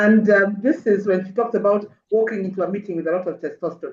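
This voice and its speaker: A woman speaks in an ordinary speaking voice, medium in pitch and at a fairly quick pace. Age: 60s. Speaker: mental wellness speaker. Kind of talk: webinar talk. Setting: video call.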